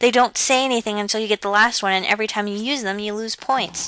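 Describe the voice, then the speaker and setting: With an American accent, a woman talks at a fairly quick pace in a fairly high pitch and fairly even intonation, over noticeable background noise. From USA. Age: 19. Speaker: video game let's play commentator. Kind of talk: gameplay commentary. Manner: casual, stumbling over words.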